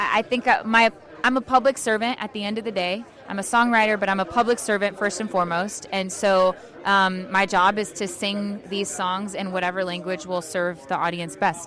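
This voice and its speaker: The woman talks at a moderate pace, and background noise is noticeable. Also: medium pitch for a woman. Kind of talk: casual interview. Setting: event interview. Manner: stutters, many restarts and fillers; animated.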